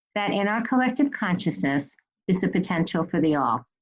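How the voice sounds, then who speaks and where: A woman speaks at a moderate pace in a fairly low voice, her pitch swinging very widely, with music playing in the background. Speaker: podcast host, reverend. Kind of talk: podcast intro.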